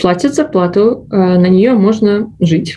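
A somewhat breathy female voice, dark and mellow in tone. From Belarus. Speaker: medical resident, former physician. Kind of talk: interview. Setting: studio.

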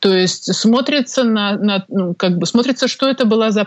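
A medium-pitched female voice moves through ordinary variation in pitch. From Belarus, Minsk. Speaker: tax lawyer. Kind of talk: interview. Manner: hesitant, many fillers.

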